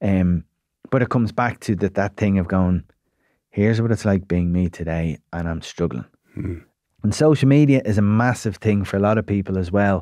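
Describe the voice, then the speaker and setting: A man with an Irish accent, fairly low pitch, ordinary pitch variation, and a fairly quick pace, in a dry sound with no echo and a quiet background. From Ireland. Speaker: psychotherapist and broadcaster; podcast guest. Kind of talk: casual chat. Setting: studio. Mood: reflective, earnest. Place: studio. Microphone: studio mic.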